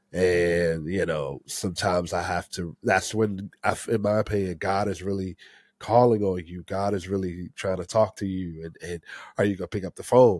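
In a dry, close recording with no echo and a silent background, very clean overall, a man with an American accent talks at a moderate pace and a fairly low pitch. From Maryland, DC area. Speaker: podcast co-host. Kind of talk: casual interview. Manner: halting, many repetitions and fillers.

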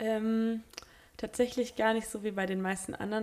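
A woman speaks at a fairly quick pace. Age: 20s. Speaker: Bible school student. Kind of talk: casual interview chat. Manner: hesitant, many fillers.

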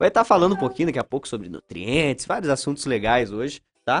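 Recorded dry and close with no echo, a man speaks at a fairly high pitch with very wide pitch swings. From Paraná, Brazil (São Mateus do Sul). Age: 20s. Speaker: radio host. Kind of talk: live radio interview.

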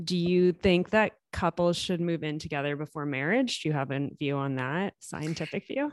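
In a normal speaking voice, a woman talks at a fairly low pitch and a moderate pace with ordinary pitch variation and hardly any pauses. The sound is dry and close with no echo, over a quiet background. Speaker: podcast host. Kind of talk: casual interview.

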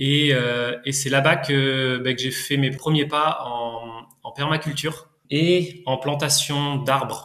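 Speaking at a very slow pace, a man holds a fairly high pitch in a monotone, flat delivery. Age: 30s. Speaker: market gardener and orchard farmer. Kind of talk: interview testimony. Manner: halting, many hesitations.

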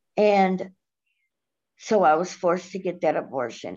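At a fairly slow pace, a woman with an American accent speaks with vocal fry and ordinary pitch variation. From Cleveland, Ohio. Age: 30s. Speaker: guest, recovery advocate. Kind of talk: personal story interview.

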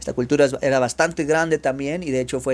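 Here a man speaks with a Mexican accent. The recording is very clean with a silent background. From Mexico. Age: 30s. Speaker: language teacher. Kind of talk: educational monologue for Spanish learners.

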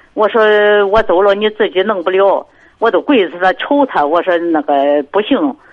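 A woman is speaking. Her pitch swings very widely. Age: 60s. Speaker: caller, grandmother. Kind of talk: phone call-in. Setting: phone call. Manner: halting.

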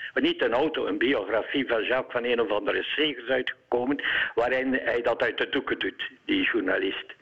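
A man talks at a moderate pace with very even loudness. Noticeable background noise is present. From Eeklo, East Flanders, Belgium. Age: 70s. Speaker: radio caller. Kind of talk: radio interview. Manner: halting.

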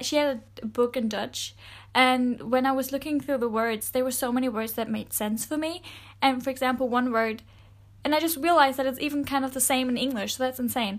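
A woman with a German accent speaks fairly quickly at a high pitch on a very clean recording with a silent background. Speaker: podcast host. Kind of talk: casual monologue. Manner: animated.

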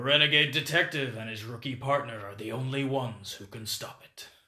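In a put-on character voice with a dramatic tone, a man of medium pitch speaks at a fairly quick pace with big swings in loudness on a very clean recording with a silent background. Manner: dramatic, gravelly trailer narration.

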